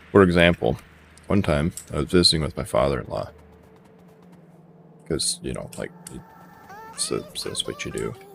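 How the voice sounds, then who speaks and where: Music plays behind a man who speaks at a moderate pace, with big swings in loudness and long, frequent pauses. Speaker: gaming streamer. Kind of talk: live gameplay commentary.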